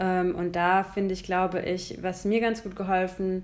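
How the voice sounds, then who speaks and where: This is a woman speaking. Her pace is fairly slow. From Germany, Hesse. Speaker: podcast co-host. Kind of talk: casual chat.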